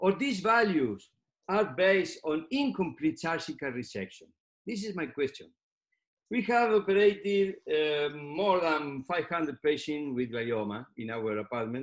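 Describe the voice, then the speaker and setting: With a Spanish accent, a man speaks at a high pitch with very wide pitch swings. The background is quiet. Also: fairly slow pace. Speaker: neurosurgeon; presenter. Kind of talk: lecture. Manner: halting. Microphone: webcam.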